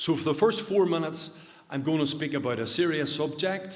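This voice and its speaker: Spoken in a Northern Irish accent at a moderate pace, the voice shows ordinary pitch variation amid noticeable background noise and audible room echo. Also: man. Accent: Derry, Northern Irish. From Northern Ireland, County Derry. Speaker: suicide prevention speaker. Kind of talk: public talk. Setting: church hall stage with audience, livestreamed.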